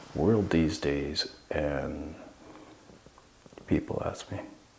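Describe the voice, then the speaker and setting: Noticeable background noise and audible room echo surround a man whose pitch is very deep and low. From Southeast Alaska (Klukwan and Sitka). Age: 40s. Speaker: Tlingit cultural knowledge keeper. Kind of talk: interview. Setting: historic hall.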